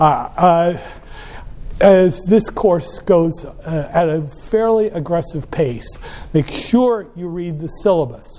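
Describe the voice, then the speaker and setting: Speech moves at a very slow pace with ordinary pitch variation, over noticeable background noise. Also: man, high pitch for a man. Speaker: college professor. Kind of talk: lecture. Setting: classroom. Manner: loud, aggressive.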